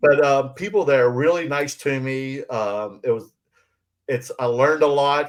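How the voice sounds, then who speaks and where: A man talks at a moderate pace in a Southern US accent, at medium pitch. The background is quiet. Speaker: podcast co-host. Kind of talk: casual chat. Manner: halting, many fillers.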